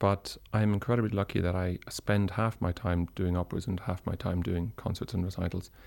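A man with an Irish accent at a fairly quick pace, in a very clean recording with a silent background. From Ireland. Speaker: opera and song tenor. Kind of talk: interview.

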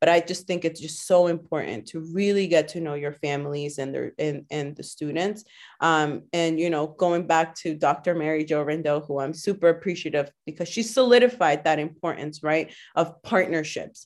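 Speaking with a Spanish accent, a woman at a fairly low pitch moves at a moderate pace with hardly any pauses, big swings in loudness and ordinary pitch variation over a quiet background. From Guatemala, raised in Waltham, Massachusetts from age seven. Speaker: middle school teacher. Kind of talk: interview conversation.

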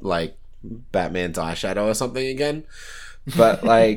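Speaking in an Australian accent, the man has a fairly low pitch. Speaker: podcast co-host. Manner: casual, laid-back.

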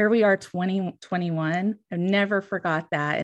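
A woman speaks at a fairly slow pace with an American accent, in an unremarkable speaking voice. Her pitch is medium and her intonation fairly even. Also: quiet background. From western US. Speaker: licensed counselor and podcast host. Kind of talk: casual chat.

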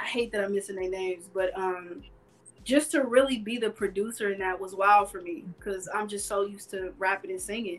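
With an American accent and a plain, everyday voice, a woman speaks with lively intonation. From Carson, California. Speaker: music producer and songwriter. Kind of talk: casual chat.

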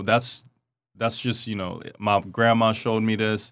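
In a very clean recording with a silent background, a man speaks at a medium pitch with an American accent. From Seattle, Ivory Coast and Paris. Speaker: chef. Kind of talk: casual interview. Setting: radio studio.

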